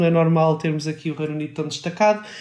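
Noticeable background noise runs through the recording. Over it, a man talks at a high pitch. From Portugal, not Porto. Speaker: podcast co-host. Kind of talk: casual chat.

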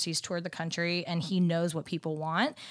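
Very clean, with a silent background, the recording holds an ordinary speaking voice with an American accent. The pace is fairly quick. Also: woman. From Dallas, Texas. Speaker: merchandise account manager. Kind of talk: interview.

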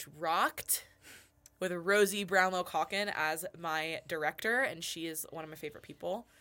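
With a bright, sharp tone, a woman speaks at a fairly low pitch, her loudness swinging widely. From US West Coast, Los Angeles area. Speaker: singer and vocal coach. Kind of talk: casual interview chat. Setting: studio. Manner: fast talker; loud, excitable.

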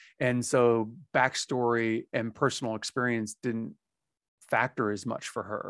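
Against a quiet background, a man with a plain, everyday voice talks at medium pitch with fairly even intonation, the sound dry and close with no echo. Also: fairly slow pace. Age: 40s. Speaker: podcast host. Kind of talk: casual chat.

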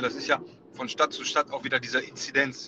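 A man with a fairly high voice talks fairly quickly. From Ruhr area, Germany. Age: 30s. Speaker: wedding photographer. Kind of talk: casual chat. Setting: phone call from car.

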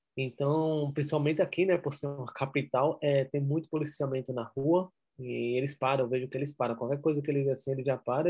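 Fairly quick and somewhat breathy, a man talks in a fairly high voice. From Brazil, Recife (Pernambuco). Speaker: entrepreneur. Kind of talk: interview.

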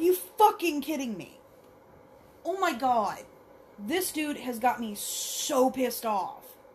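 A woman speaks at a very slow pace with a high pitch, her voice swinging very widely in pitch and greatly in loudness. Long, frequent pauses break up her speech over noticeable background noise. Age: 30s. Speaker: horror movie reaction podcaster. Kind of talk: movie reaction commentary. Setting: alone in home basement. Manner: animated.

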